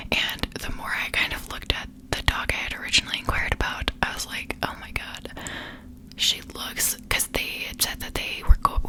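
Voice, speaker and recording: Whispering, a woman is heard over noticeable background noise. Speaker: ASMR creator. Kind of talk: ASMR whisper ramble, casual talk to camera. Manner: whispered, soft-spoken.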